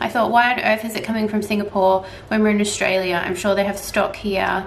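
There is light noise in the background. A woman's speech moves fairly quickly. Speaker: luxury goods vlogger. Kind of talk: casual vlog chat. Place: home room. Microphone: camera far.

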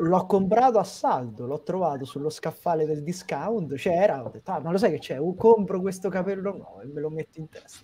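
The pace is moderate. There are hardly any pauses. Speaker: wrestling show panelist. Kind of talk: casual chat. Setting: video call. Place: home room. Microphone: video call.

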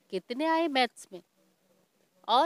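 A woman speaks at a very slow pace with a high pitch. The sound is dry, with no echo. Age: 50s. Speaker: stage announcer. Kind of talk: interview. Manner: formal. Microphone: handheld.

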